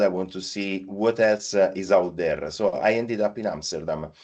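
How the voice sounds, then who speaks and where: A man with an Italian accent speaks at a fairly low pitch. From Italy. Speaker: payments partnership lead. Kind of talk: podcast interview. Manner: halting, many fillers.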